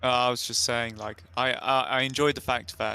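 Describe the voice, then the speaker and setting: With a British accent, a man speaks at a medium pitch. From UK. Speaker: writer panelist. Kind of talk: panel discussion.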